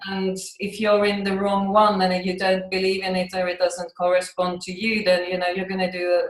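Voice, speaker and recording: A woman's medium-pitched voice, monotone and flat in intonation, at a moderate pace. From Finland. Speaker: acupuncturist. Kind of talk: interview. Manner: halting, with fillers and repetitions.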